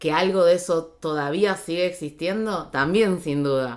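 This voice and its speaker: A woman with an Argentine accent speaks at a fairly slow pace, with fairly low pitch and fairly even intonation, on a very clean recording with a silent background. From Argentina. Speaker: journalist and radio host. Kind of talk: interview answer.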